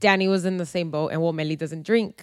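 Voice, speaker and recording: A woman with a fairly low voice speaks on a very clean recording against a silent background. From US, San Diego, Mexican-American family. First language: Spanish. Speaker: podcast co-host. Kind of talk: casual chat.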